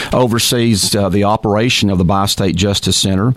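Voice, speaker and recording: Over noticeable background noise, a man talks at a very fast pace with a fairly low pitch and fairly even intonation. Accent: American. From Texas (Texarkana). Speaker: mayor and mayoral candidate. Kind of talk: radio interview.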